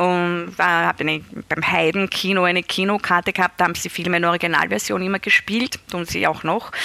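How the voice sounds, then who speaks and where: The tone is bright and sharp as a woman speaks at a medium pitch and a fairly quick pace. Her intonation is monotone and flat, and the sound is dry and close with no echo. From Austria, Styria. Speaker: novelist. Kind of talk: interview.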